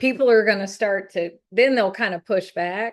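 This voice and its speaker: With a Southern US accent, a woman talks at a moderate pace, her fairly high pitch showing ordinary pitch variation. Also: quiet background. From US South, North Carolina. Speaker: gallery owner on art career panel. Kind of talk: panel discussion. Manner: hesitant, many fillers.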